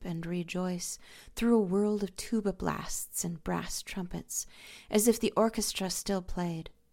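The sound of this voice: An unforced reading voice carries the text, with pitch varying in an ordinary way.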